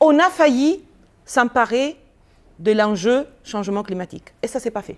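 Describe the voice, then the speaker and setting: On a very clean recording with a silent background, a woman speaks in a high pitch. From Italy. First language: Italian (speaking French). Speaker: business school professor. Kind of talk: lecture.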